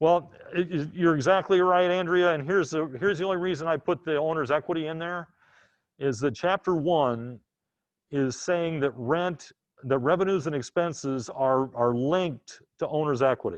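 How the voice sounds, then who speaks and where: A man's plain, everyday voice, fairly high in pitch, with ordinary pitch variation and a moderate pace over a quiet background. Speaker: accounting instructor. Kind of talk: lecture.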